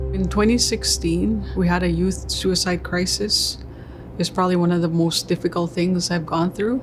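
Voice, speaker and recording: A woman speaks quietly at a moderate pace with very even loudness, with music in the background. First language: Cree. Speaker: First Nations chief. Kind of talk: interview testimony.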